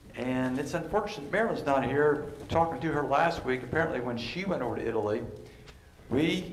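Speech comes at a fairly quick pace. Light background noise and audible room echo are present. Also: man. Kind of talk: sermon-style teaching talk. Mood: warm, relaxed. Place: church. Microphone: headset.

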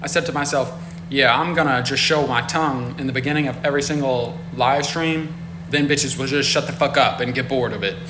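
Noticeable background noise sits under the recording. A man talks at a fairly quick pace. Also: ordinary pitch variation. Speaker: live streamer. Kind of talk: casual live stream chat reading comments. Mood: irritated, sarcastic. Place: home room. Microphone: phone near.

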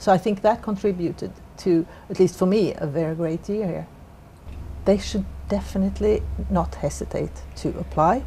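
Speaking at a moderate pace with a Swedish accent, this voice leaves long, frequent pauses over light background noise. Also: woman. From Sweden. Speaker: corporate lawyer. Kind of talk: interview. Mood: warm, reflective. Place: office.

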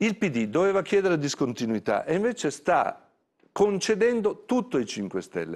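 Against a quiet background, a man's voice makes very wide pitch swings. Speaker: party secretary and politician. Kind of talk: interview answer. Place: studio. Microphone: lapel.

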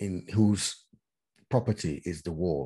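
The background is quiet. A man talks fairly slowly in a dark, mellow tone at a fairly low pitch. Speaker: interviewee. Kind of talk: interview answer. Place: home room. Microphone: video call.

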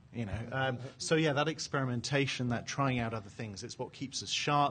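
A man speaks at a medium pitch and moderate pace. His voice is somewhat breathy, with ordinary pitch variation. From England. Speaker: panelist at a tech conference; conference panelist. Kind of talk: panel discussion. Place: hall.

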